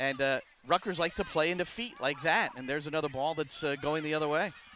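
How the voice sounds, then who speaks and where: Noticeable background noise sits behind this recording. A man speaks very fast with a fairly high pitch. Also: ordinary pitch variation. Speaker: soccer play-by-play and color commentator. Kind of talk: live sports play-by-play commentary.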